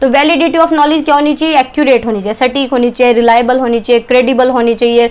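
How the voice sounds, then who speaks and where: With hardly any pauses, a woman talks in a high voice and fairly even intonation over noticeable background noise. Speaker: teacher. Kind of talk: lecture. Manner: fast.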